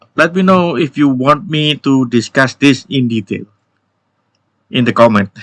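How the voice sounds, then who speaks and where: Speaking at a fairly slow pace with long, frequent pauses, a man with an Indonesian accent uses ordinary pitch variation, his voice dry and close with no echo. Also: medium pitch for a man. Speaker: YouTube tech educator. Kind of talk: tech news update video. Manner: halting with fillers.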